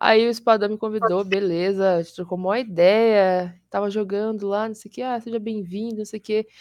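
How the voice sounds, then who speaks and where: A woman with an ordinary speaking voice talks at a moderate pace and medium pitch, with hardly any pauses. Her loudness swings widely while her intonation stays fairly even. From Curitiba, Brazil. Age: 20s. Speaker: streamer and fighting game player. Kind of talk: casual chat.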